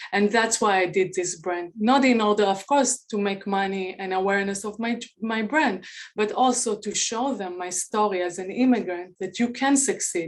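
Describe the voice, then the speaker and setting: A woman speaks with a non-native accent at a medium pitch. Her pace is moderate. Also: ordinary pitch variation. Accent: foreign. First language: not English. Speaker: beauty brand founder. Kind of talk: pitch presentation.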